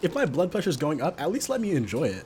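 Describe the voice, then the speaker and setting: Very fast and animated, this voice with an American accent swings very widely in pitch over noticeable background noise. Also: man. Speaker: food vlogger. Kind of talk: vlog narration. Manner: casual, animated; whispering.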